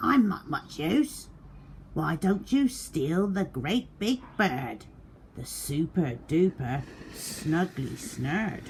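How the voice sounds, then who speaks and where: A put-on character voice moves at a very slow pace against clear background noise. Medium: read story.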